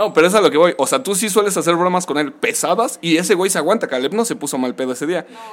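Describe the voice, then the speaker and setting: Talking at a very fast pace, a man with a Mexican accent uses a high pitch and lively intonation. Noticeable background noise sits behind him. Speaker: podcast co-host. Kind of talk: casual chat.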